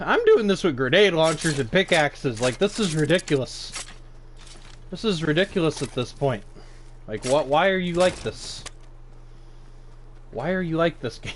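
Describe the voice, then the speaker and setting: Speaking at a moderate pace with long, frequent pauses, a man uses a fairly high voice and lively intonation over noticeable background noise. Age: 20s. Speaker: gaming streamer. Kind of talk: live gameplay commentary. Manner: animated.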